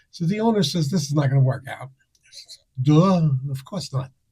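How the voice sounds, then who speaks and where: A man's somewhat breathy, dark, mellow voice, fairly high in pitch for a man, with ordinary pitch variation. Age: 70s. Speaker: comedy producer and comedian. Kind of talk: casual interview chat.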